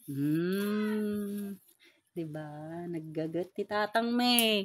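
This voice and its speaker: A woman's very slow speech, its pitch varying in an ordinary way. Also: medium pitch for a woman. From La Union, Philippines. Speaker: daughter filming her father. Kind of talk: casual talk to camera.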